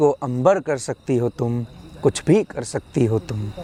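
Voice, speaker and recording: A man's pitch swings very widely. The sound is dry and close, with no echo. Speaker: poet; university student. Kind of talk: poetry reading. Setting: outdoors.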